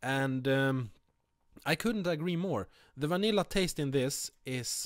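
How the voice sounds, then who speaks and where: A man with a Swedish accent speaks at a fairly slow pace with very wide pitch swings, in a very clean recording with a silent background. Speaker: vape reviewer. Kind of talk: product review. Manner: halting, many fillers.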